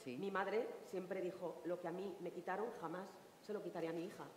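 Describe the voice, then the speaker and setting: There is light background noise and audible room echo. A woman talks at a moderate pace. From Asturias. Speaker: singer; panelist. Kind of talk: panel discussion answer. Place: stage. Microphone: headset.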